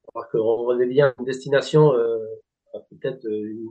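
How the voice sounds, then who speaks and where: The man's voice sounds somewhat breathy. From Spanish Basque Country. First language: Spanish (speaking French). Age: 40s. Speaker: golf club director. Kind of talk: interview. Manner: halting, many hesitations.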